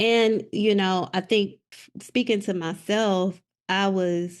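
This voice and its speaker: A woman with a Southern US accent, medium-pitched, at a very slow pace and fairly even intonation. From South Mississippi. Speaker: educational leader, poet. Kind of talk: interview answer.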